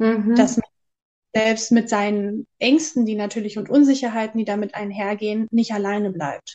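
Her voice is fairly high, with a dark, mellow tone. The woman keeps a moderate pace and fairly even intonation. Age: 30s. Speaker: aspiring psychological counsellor. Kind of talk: interview. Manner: hesitant, many filler sounds.

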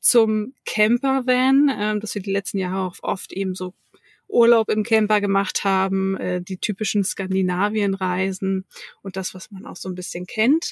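A woman with a normal speaking voice, a fairly slow pace, fairly even intonation and big swings in loudness, in a dry, close sound with no echo. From Hamburg, northern Germany. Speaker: digital workplace consultant. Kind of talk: interview. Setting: remote call.

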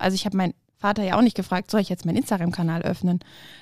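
A woman speaks at a very fast pace, her medium pitch showing ordinary variation. The sound is dry and close, with no echo. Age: 30s. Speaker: tax advisor. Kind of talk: casual interview.

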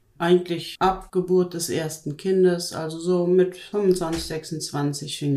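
A woman with a dark, mellow tone talks at a fairly low pitch and a very slow pace. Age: 50s. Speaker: weight-loss program participant. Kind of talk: interview. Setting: studio, in person.

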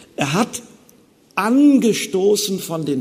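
A man's intonation is lively while noticeable background noise carries on behind him. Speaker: theologian giving a lecture on Luther. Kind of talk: lecture. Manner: formal.

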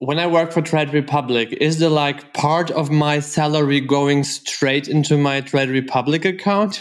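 In a very clean recording with a silent background, a plain, everyday voice speaks at a fairly slow pace with very even loudness and ordinary pitch variation. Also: man. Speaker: podcast host. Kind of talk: casual interview.

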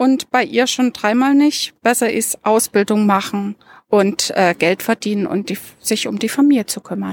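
With a plain, everyday voice, a woman speaks at a fairly high pitch and a moderate pace, with ordinary pitch variation and a dry, close sound with no echo. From Dresden, eastern Germany. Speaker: university administrator and volunteer mentor. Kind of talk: group conversation. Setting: outdoors in a university courtyard.

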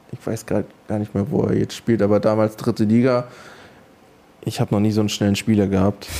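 A man talks at a very fast pace yet with long, frequent pauses. His intonation is flat and monotone. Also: fairly low pitch for a man. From Mecklenburg, Schwerin. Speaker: professional footballer. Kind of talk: interview. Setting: stadium. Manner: hesitant, many fillers.

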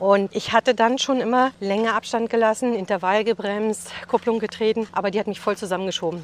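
At a fairly quick pace, a woman talks in a medium pitch with fairly even intonation. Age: 50s. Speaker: businesswoman. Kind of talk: interview. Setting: outdoors, walking in a forest. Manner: fast.

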